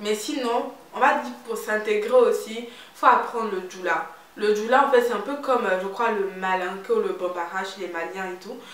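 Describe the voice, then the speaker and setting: A woman speaks with a fairly high pitch and ordinary pitch variation, her loudness swinging widely. The room echoes audibly, and background noise is noticeable. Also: moderate pace. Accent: slight Ivorian. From Ivory Coast. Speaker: beauty and lifestyle vlogger. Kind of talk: casual vlog talk. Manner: animated.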